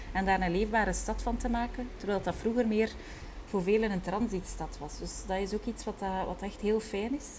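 Vocal fry runs through a woman's voice as she speaks with fairly even intonation. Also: medium pitch for a woman, moderate pace. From Flanders, Belgium (Kortrijk, West Flanders). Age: 30s. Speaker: tour guide and entrepreneur. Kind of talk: casual interview conversation. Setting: at home with window open.

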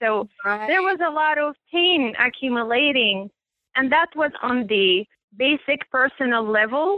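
The pace is fairly slow. The intonation is lively. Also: woman. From Middle East. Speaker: life coach. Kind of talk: interview. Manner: halting, with fillers.

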